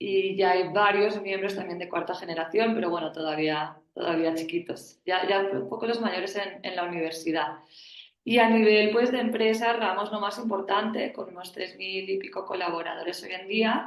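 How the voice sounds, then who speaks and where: With a Spanish accent, a woman speaks at a medium pitch and a moderate pace with ordinary pitch variation, and room echo is audible. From Spain. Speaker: family business board member. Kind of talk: panel discussion.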